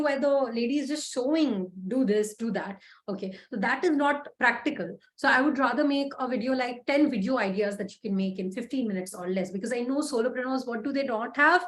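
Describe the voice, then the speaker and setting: The speech moves at a fairly quick pace with ordinary pitch variation and hardly any pauses. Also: woman. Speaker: LinkedIn coach and freelancer. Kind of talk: online masterclass lecture. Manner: fast.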